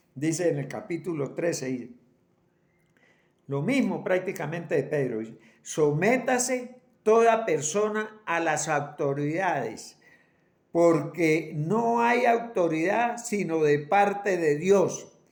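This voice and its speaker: A man at a high pitch and very slow pace, with lively intonation and audible room echo. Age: 80s+. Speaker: preacher. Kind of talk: sermon. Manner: halting, repeats words.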